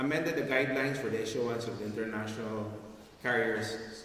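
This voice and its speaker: Very fast and fairly even in intonation, a man speaks amid light background noise and audible room echo. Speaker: speaker. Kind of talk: conference speech. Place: hall. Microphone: handheld.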